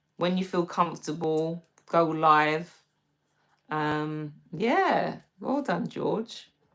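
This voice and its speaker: With a London accent, a woman speaks at a very slow pace, leaving long, frequent pauses. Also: ordinary pitch variation. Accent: British (London). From London, England. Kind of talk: casual livestream chat.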